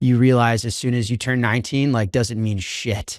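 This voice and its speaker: Against a silent background in a very clean recording, a man with an American accent and an unremarkable speaking voice talks at a moderate pace with medium pitch and fairly even intonation. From US Midwest, Chicago. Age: young. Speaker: bitcoin entrepreneur. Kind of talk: podcast interview.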